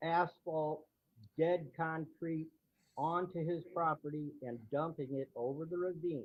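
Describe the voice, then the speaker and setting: A man with an ordinary speaking voice, fairly high in pitch, at a fairly slow pace and with fairly even intonation. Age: 60s. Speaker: neighbor speaking at public hearing. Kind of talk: public hearing comment.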